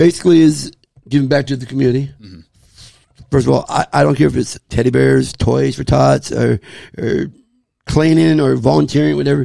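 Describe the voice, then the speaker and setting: A man at a fairly quick pace, with long, frequent pauses and big swings in loudness, in a dry sound with no echo over a quiet background. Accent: American. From Southern California, Baldwin Park; California. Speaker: sports superfan; podcast guest. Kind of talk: casual chat. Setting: man cave. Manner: outspoken. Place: home room. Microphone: studio mic.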